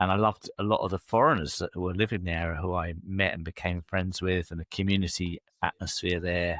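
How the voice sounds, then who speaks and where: Fairly quick and very deep-voiced, a man with an English accent keeps fairly even intonation in a very clean, dry, close recording with no echo and a silent background. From England. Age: 60s. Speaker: leadership coach. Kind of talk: interview.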